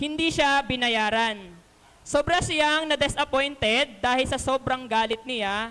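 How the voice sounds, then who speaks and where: A loud, high-pitched woman's voice at a fairly slow pace, with ordinary pitch variation. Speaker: lay preacher, elementary school teacher. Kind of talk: sermon.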